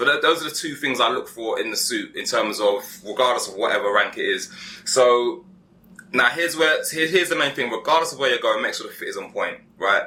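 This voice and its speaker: He speaks fairly quickly. The man has a British accent. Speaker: menswear tailoring channel host. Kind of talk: casual advice chat. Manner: fast; animated.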